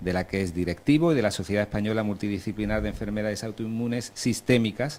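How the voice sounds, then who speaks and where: Talking at a very fast pace, a man keeps a fairly low pitch. His pitch varies in an ordinary way. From Andalusia, Alhama de Granada. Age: 40s. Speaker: panel moderator. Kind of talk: panel moderation and introductions.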